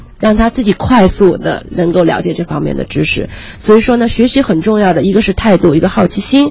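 A woman talks at a fairly quick pace and medium pitch with ordinary pitch variation. Noticeable background noise is present. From Ningbo, Zhejiang, China. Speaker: marketing and PR strategist. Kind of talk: radio interview.

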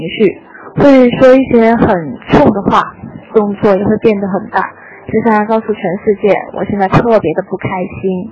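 A woman's fairly high voice, with ordinary pitch variation, moves at a moderate pace while noticeable background noise sits behind it. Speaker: listener sending voice message. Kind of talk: recorded listener message.

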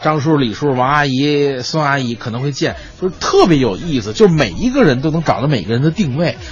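A man speaks at a fairly quick pace with lively intonation and hardly any pauses. Music plays in the background. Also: fairly high pitch for a man. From Beijing. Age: young. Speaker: crosstalk comedian. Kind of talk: casual chat.

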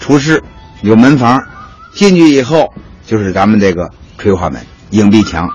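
A man talks with a Beijing accent and very wide pitch swings. Background noise is noticeable. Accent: Beijing Mandarin. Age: 50s. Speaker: hutong tour guide. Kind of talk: guided tour talk.

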